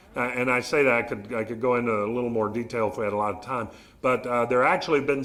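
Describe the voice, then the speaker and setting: With a Southern US accent, a man talks at a medium pitch for a man, using ordinary pitch variation. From Arkansas, US South. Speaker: behavioral neurologist. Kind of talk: public talk with audience Q&A. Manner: conversational, polite.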